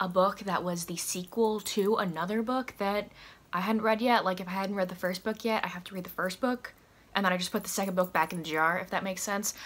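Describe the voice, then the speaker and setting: A woman at a fairly quick pace with fairly even intonation. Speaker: book vlogger. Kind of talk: casual vlog chat. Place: home room. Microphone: camera far.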